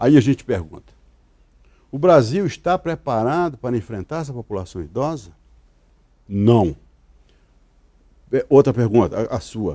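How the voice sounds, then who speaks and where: Dark and mellow, this man's voice makes very wide pitch swings. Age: 70s. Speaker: lawyer. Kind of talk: interview.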